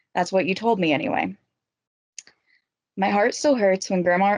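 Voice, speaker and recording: With a slight Appalachian accent, a woman talks at a moderate pace in a dry, close sound with no echo. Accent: slight Appalachian twang. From West Virginia, Eastern Panhandle (Franklin). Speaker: university student and writer. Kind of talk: reading aloud a personal essay.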